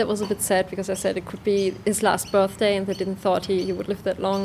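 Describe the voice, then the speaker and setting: A woman's monotone, flat-intoned voice at medium pitch, fairly quick, with a German accent. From Germany. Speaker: pastry chef and dog bakery owner. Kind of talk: interview.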